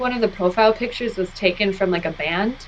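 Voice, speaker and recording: A woman's voice with fairly even intonation, against noticeable background noise. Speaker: podcast host. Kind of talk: casual chat. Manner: hesitant, many fillers.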